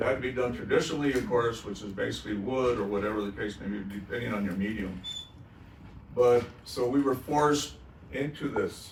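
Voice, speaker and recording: Amid noticeable background noise and audible room echo, a man at medium pitch speaks at a fairly quick pace with ordinary pitch variation. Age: 70s. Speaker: artist. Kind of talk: panel discussion.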